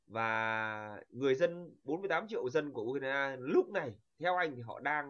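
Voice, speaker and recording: Here is a man with an unremarkable speaking voice, pitched fairly high. His intonation is lively. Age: young. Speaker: channel host. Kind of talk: interview.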